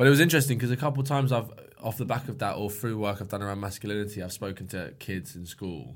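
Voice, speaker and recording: With a British accent, a man speaks very fast at a fairly low pitch. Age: 20s. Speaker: podcast host. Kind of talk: casual chat.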